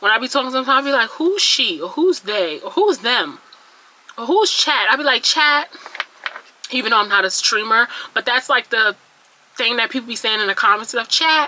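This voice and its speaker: A woman speaks at a moderate pace with a high pitch and very wide pitch swings, leaving long, frequent pauses over noticeable background noise. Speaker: beauty vlogger. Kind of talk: casual vlog monologue. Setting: talking to camera at home. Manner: stuttering; chatty, rambling delivery.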